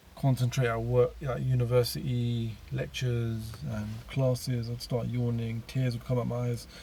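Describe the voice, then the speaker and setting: Dark and mellow in tone, a man speaks somewhat breathily. His intonation stays fairly even. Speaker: YouTuber sharing personal spiritual story. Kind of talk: personal testimony. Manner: halting.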